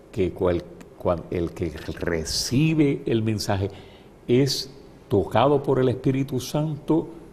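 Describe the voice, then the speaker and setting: Over noticeable background noise, a man talks very slowly at a medium pitch, with long, frequent pauses. His pitch swings very widely. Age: 70s. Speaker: bishop. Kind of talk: interview. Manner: halting, repeats words.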